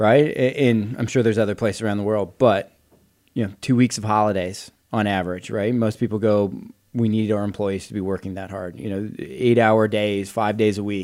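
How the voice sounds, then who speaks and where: A plain, everyday voice from a man with fairly low pitch, at a fairly quick pace. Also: fairly even intonation, very clean recording, silent background. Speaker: podcast co-host. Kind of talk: casual chat.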